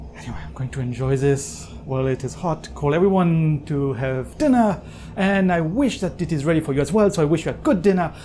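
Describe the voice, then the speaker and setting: Someone speaks at a fairly quick pace with a French accent. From southern France. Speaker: home cook video creator. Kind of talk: cooking tutorial. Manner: casual, conversational.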